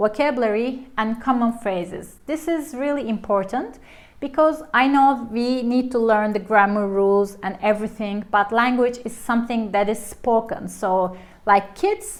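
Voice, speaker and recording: The speaker has a Turkish accent. The pace is fairly slow. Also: woman. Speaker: language teacher. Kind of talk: tutorial. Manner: casual, halting with self-corrections.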